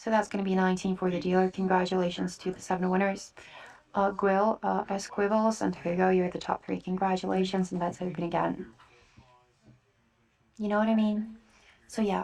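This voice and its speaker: A soft-spoken woman talks at a medium pitch in a flat, monotone intonation. Her pace is fairly quick, broken by long, frequent pauses. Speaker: blackjack dealer hosting a live table. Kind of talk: ASMR soft-spoken blackjack session with casual chat. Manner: soft-spoken, calming.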